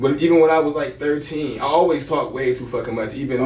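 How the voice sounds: Noticeable background noise sits behind a man's voice. He speaks fairly quickly at a fairly high pitch.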